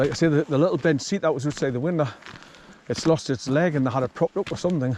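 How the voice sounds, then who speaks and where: Against noticeable background noise, a man with a northern English accent talks very fast at a fairly high pitch, with ordinary pitch variation. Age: 60s. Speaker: hiking vlogger. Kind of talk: casual walking vlog narration. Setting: outdoors.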